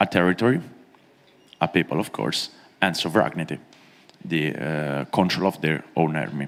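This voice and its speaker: With a non-native accent, a man speaks using lively intonation. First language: not English. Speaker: conference panelist. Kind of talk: conference speech. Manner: slow; halting.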